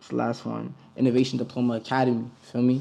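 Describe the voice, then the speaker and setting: A man with an American accent speaks at a medium pitch in a monotone, flat intonation. There is noticeable background noise. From New York City, the Bronx. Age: 20s. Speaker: rapper. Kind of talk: interview. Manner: casual, slangy.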